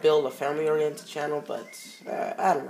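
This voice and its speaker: Over noticeable background noise, a woman with a very deep, low voice talks at a fairly quick pace. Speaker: gaming YouTuber. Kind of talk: let's play commentary.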